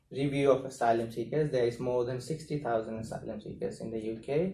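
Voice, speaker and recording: Over audible room echo, a man speaks at a moderate pace in a somewhat breathy voice with a dark, mellow tone. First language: not English. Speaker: asylum seeker and activist. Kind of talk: talk to a university class. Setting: university classroom. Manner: hesitant, with fillers.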